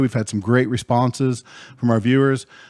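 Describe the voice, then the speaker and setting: A man speaks fairly quickly in a plain, everyday voice, the sound dry and close with no echo. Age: 40s. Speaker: podcast host. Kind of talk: casual chat.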